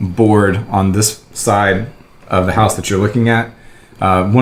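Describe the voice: Someone gives a plain reading aloud. Their intonation remains fairly even.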